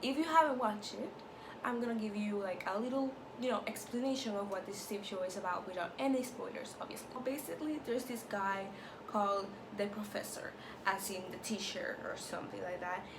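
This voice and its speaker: A woman with a Spanish accent talks at a fairly quick pace and fairly high pitch with ordinary pitch variation, amid noticeable background noise and audible room echo. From Latin America. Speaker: YouTuber. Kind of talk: TV show review vlog. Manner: casual, filler-heavy.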